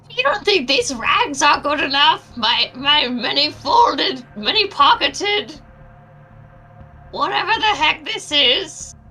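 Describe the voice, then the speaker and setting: A woman's put-on character voice, high in pitch with very wide pitch swings. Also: fairly slow pace. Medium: actual play. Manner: paranoid, scattered.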